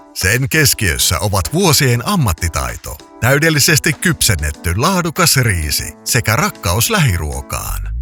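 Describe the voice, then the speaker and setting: Music plays behind a man talking at a very slow pace. His voice sits at a medium pitch and swings very widely up and down. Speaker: voice-over artist. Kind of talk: radio commercial read.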